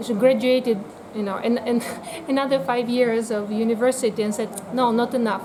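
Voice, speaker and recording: Noticeable background noise sits behind a woman with a Russian accent whose fairly high voice keeps a fairly even intonation. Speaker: biotherapy practitioner. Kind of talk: interview. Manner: hesitant, many fillers.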